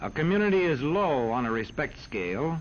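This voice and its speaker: With lively intonation, a man uses an ordinary speaking voice pitched fairly high. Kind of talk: educational film narration.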